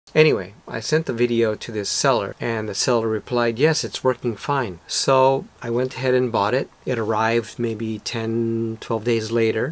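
The man keeps a moderate pace with hardly any pauses. His intonation stays fairly even. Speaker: photographer vlogger. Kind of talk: casual vlog chat. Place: home room.

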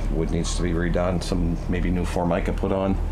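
Noticeable background noise sits under a man speaking. He goes at a fairly quick pace with ordinary pitch variation. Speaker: boat sales agent. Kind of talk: walkthrough tour commentary. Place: boat. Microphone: phone near.

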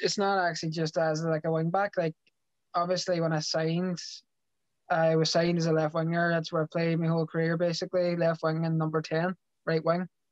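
A man's high, monotone, flat voice in a Derry accent against a quiet background. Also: dry sound with no echo. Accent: Northern Irish (Derry). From Northern Ireland, Derry. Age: 20s. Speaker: professional footballer. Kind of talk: interview. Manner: halting. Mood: relaxed, sincere. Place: home room. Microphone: video call.

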